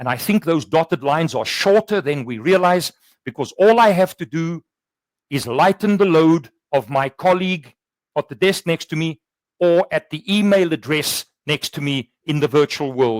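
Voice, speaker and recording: Speaking at a moderate pace with a South African accent, a man uses a fairly high voice with ordinary pitch variation. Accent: Afrikaans South African English. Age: 60s. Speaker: workplace culture consultant. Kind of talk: webinar conversation.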